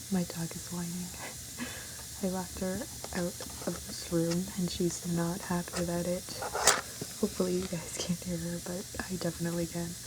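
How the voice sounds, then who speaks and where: Speaking softly at a moderate pace, with long and frequent pauses, the voice sits against noticeable background noise. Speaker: ASMR creator. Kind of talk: ASMR soft-spoken video. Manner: soft-spoken.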